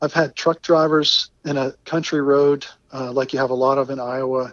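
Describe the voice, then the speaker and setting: Intonation is monotone and flat, at a moderate pace. The man's pitch is fairly high. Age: 60s. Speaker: retired geologist, long-distance cyclist. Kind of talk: interview.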